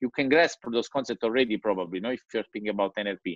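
A man with an Italian accent is heard in a dry sound with no echo against a quiet background. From Italy. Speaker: digital strategy consultant; presenter. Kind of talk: presentation. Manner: halting. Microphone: video call.

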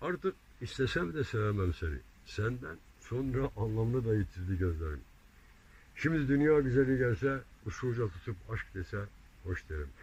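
At a moderate pace and medium pitch, a man's somewhat breathy voice makes very wide pitch swings, broken by long, frequent pauses. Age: 70s. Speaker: amateur poet. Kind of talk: poetry reading.

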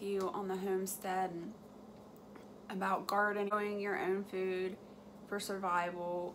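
A woman with a medium pitch and little pitch movement talks at a fairly slow pace over faint background noise.

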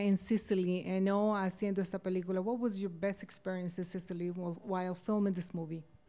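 A woman with a Spanish accent, medium in pitch with a dark, mellow tone, at a very fast pace with hardly any pauses. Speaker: TV interviewer. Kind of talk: interview. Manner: code-switches Spanish and English. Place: home room. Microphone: handheld.

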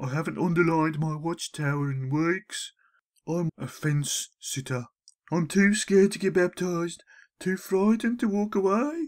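A put-on character voice, whiny and middle-pitched, at a moderate pace in a very clean recording with a silent background. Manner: timid, apologetic, whiny.

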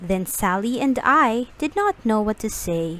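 The intonation rises and falls in a lively way. The pace is fairly slow. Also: woman.

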